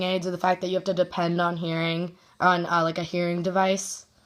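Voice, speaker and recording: A woman mumbles at a fairly quick pace in a medium pitch. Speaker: student interviewer. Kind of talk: interview. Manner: fast; mumbling.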